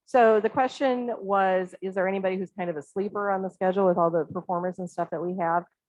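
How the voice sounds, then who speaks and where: The voice moves at a fairly quick pace, with ordinary pitch variation. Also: woman. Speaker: arts festival organizer. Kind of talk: Q&A after a talk. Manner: fast.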